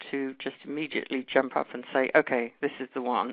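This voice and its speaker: A woman's voice comes through at a very deep, low pitch. She keeps a moderate pace. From London, England. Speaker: journalist and true crime author. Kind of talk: interview.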